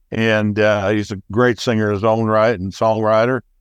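Recorded dry and close with no echo against a quiet background, a man speaks at a fairly low pitch with an American accent. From US Midwest. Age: old. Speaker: songwriter. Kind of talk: casual chat.

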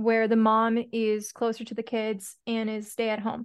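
Against a quiet background, a woman with a fairly high pitch speaks at a moderate pace in a normal speaking voice. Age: 20s. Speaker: podcast host. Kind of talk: casual interview.

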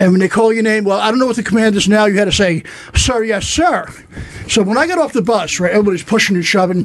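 Amid noticeable background noise, a high-pitched man with a New York accent talks at a very fast pace with ordinary pitch variation. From New York, Staten Island. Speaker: comedian, former Marine. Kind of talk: casual chat.

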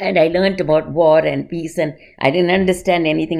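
A woman talks at a very fast pace, her pitch fairly low with vocal fry. Her intonation stays fairly even. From India, Bombay. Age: 80s+. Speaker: dance teacher. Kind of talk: interview.

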